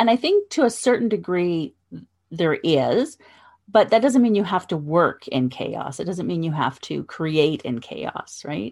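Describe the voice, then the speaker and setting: A woman's fairly low voice with vocal fry and very wide pitch swings, at a fairly slow pace, in a very clean recording with a silent background. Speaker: podcast host. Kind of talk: interview.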